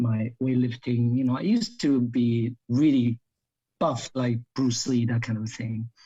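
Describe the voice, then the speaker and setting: A man speaks fairly slowly in a dark, mellow, somewhat breathy tone at medium pitch, with monotone, flat intonation. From New Jersey, US (grew up in America). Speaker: actor and martial artist. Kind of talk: interview.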